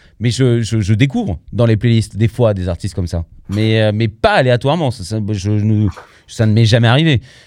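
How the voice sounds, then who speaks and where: A plain, everyday voice comes through at a moderate pace with ordinary pitch variation on a very clean recording with a silent background. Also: man, fairly low pitch for a man. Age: 40s. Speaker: podcast host, music debate. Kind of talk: casual chat.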